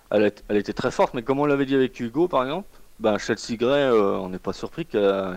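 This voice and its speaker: A medium-pitched man at a very fast pace, lively in intonation, with a dry, close sound and no echo. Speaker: basketball podcast panelist. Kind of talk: casual chat. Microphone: connection dropped.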